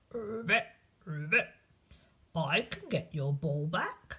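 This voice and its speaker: A female-sounding, put-on character voice at a middle pitch and a fairly slow pace. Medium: read story.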